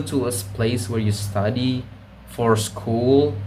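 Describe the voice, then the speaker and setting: A man with a fairly low pitch and fairly even intonation talks amid noticeable background noise and audible room echo. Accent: Indonesian. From Indonesia. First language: Indonesian. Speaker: video blogger. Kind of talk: casual monologue. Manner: halting.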